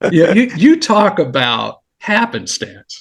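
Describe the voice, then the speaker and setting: The speaker has an American accent, vocal fry, and very wide pitch swings. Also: man. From Los Angeles, California. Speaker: retired federal agent. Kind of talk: casual chat.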